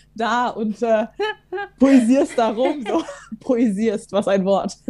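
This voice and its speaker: A woman's voice shows ordinary pitch variation while music plays in the background. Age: 20s. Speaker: theology student. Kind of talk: casual chat.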